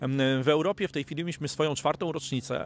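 With vocal fry and ordinary pitch variation, a man speaks at a fairly high pitch over light background noise in a dry sound with no echo. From Poland. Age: 40s. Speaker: network marketing distributor. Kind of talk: interview. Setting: studio. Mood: upbeat, optimistic. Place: garden. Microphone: handheld.

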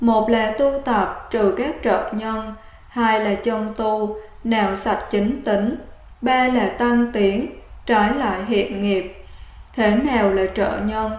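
Talking at a very slow pace, a woman keeps her fairly high voice to fairly even intonation. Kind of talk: Buddhist sutra reading.

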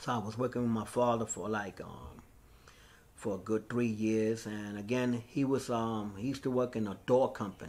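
With fairly even intonation, the man's speech moves at a moderate pace. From New York, South Bronx; New York. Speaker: graffiti artist; interviewee. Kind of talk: oral history interview. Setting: recorded interview. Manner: casual, filler-heavy. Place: hall.

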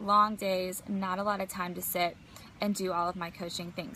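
A woman's bright, sharp voice at a moderate pace, monotone and flat in intonation, dry with no echo, over light background noise. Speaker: business coach. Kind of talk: casual vlog chat. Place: garden. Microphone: phone near.

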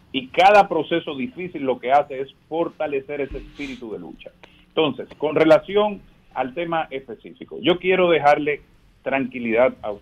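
A man with a plain, everyday voice speaks at a moderate pace, fairly high in pitch. His intonation is lively and his loudness swings widely. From Dominican Republic. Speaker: politician, congressional candidate; politician, candidate. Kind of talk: radio interview by phone. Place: studio.

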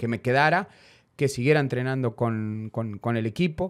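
A plain, everyday voice from a man, at a moderate pace with ordinary pitch variation, over a quiet background. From Argentina. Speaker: former footballer; guest. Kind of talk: interview. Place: studio. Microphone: studio mic.

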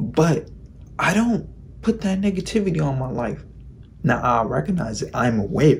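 The voice has very wide pitch swings and vocal fry. Long pauses come often. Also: man, moderate pace. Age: 20s. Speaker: YouTuber giving self-improvement advice. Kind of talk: vlog monologue. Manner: casual, slangy. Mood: reflective, earnest. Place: home room. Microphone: phone near.

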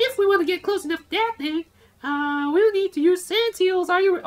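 Squeaky and extremely high-pitched, this put-on character voice moves at a fairly quick pace.

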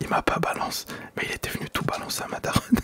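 Someone whispers at a fairly quick pace in a dry, close sound with no echo, with noticeable background noise present. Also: man. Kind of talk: whispered storytime while gaming. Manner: whispered.

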